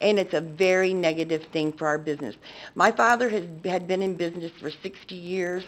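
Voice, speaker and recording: Here is a woman with an unremarkable speaking voice and a fairly low pitch. Her pace is fairly quick, with ordinary pitch variation. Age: 60s. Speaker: public commenter, business owner. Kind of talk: public comment at council meeting. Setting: council chamber.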